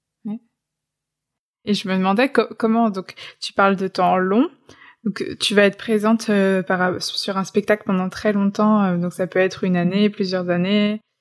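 Long, frequent pauses break up a woman's fairly slow speech. Her medium-pitched voice stays monotone and flat. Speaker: podcast host. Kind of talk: interview. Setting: remote recording. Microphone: remote recording, sound quality sometimes poorer.

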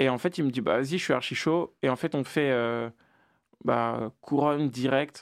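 In a very clean recording with a silent background, a normal speaking voice carries ordinary pitch variation. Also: man. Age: 20s. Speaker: rapper. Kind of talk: interview.

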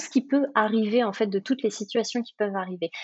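This woman's fairly high voice has a somewhat breathy sound. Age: 40s. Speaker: life coach. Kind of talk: interview. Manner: halting.

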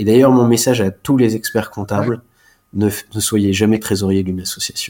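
With a fairly deep voice, a man delivers his words at a fairly brisk speed. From Alsace, France. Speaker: chartered accountant. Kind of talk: interview. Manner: halting.

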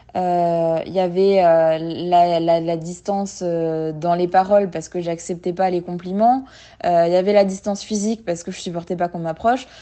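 Moderately paced, a woman speaks with fairly even intonation. Her pitch sits fairly low. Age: 20s. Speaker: person with an eating disorder sharing her story. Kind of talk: testimony. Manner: halting.

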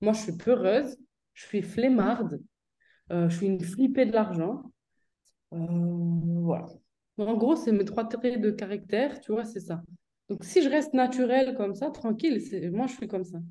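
A fairly slow pace broken by long, frequent pauses. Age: 30s. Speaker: entrepreneur and author. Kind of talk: casual interview. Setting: video call.

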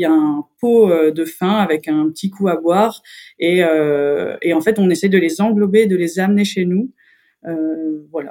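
A woman's fairly low-pitched, unremarkable speaking voice with ordinary pitch variation. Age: 30s. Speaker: circus artist. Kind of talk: interview.

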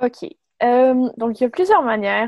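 Her voice belongs to a woman. The intonation is fairly even. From Quebec, Montreal. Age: 20s. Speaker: medical student and nonprofit co-founder. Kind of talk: interview. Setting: remote call. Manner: halting.

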